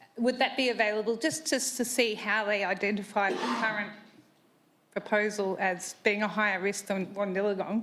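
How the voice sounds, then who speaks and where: With an Australian accent, a woman talks at a moderate pace in a fairly high pitch, her intonation fairly even and her loudness very even, over noticeable background noise and audible room echo. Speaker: resident asking a question at a council meeting. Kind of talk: public question at council meeting. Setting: council chamber with public gallery.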